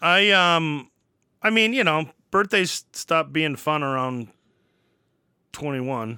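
A man with an American accent, fairly high pitch and a bright, sharp tone, lively intonation, a very slow pace and long, frequent pauses. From Wisconsin. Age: 40s. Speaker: podcast co-host and college teacher. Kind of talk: casual chat.

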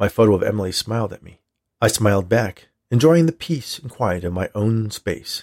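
Over a quiet background, lively intonation marks an unforced reading voice.

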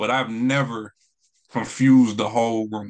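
A man's medium-pitched voice with an American accent, over a quiet background. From North Carolina. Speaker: spoken word poet. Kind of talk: interview. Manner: halting, many fillers.

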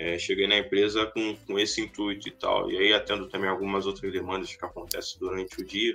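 A man at a fairly quick pace, with hardly any pauses. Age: 20s. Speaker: database professional. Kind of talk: casual interview. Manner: halting.

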